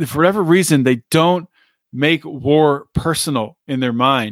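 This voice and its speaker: In a normal speaking voice with an American accent, a man speaks at a moderate pace with fairly high pitch and ordinary pitch variation, on a very clean recording with a silent background. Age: 40s. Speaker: political podcast host. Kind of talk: solo commentary. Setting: studio recording. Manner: casual, filler-heavy.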